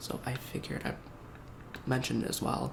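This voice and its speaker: Over noticeable background noise, a soft-spoken man whispers. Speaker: roleplay game store clerk. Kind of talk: ASMR game store roleplay. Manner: soft-spoken, whispering.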